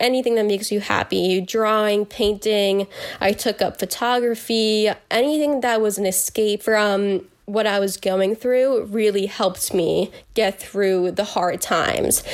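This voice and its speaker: Recorded very cleanly against a silent background, a woman with a normal speaking voice and a medium pitch speaks at a fairly slow pace, with fairly even intonation and very even loudness. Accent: American. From Northern New Jersey. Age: young. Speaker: college student with Lyme disease. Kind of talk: personal testimony interview.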